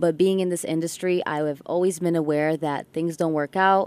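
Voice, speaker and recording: A woman with a plain, everyday voice and a fairly low pitch speaks at a moderate pace with fairly even intonation, in a dry, close sound with no echo on a very clean recording with a silent background. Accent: American. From Ann Arbor, Michigan, then abroad. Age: young. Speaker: singer, talent show contestant. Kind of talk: radio interview.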